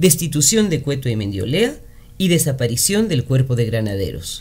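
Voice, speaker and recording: At a moderate pace, a man's voice moves through very wide pitch swings. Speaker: radio chronicle narrator. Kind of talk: radio chronicle narration, historical news-style reading. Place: studio.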